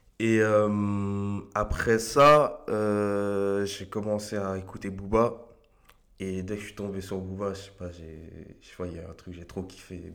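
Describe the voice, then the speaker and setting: A man with a fairly low voice speaks very slowly, with fairly even intonation. His loudness swings widely, and the room echo is audible. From France, Argenteuil (Paris suburbs). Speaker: beatmaker. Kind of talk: casual interview.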